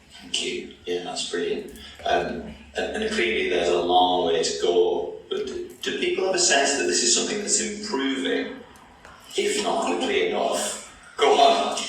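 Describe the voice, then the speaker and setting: Music plays in the background as a man with a Teesside accent speaks amid audible room echo. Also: moderate pace. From northern England, Middlesbrough. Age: 40s. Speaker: theatre artist and conversation leader. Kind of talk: panel discussion.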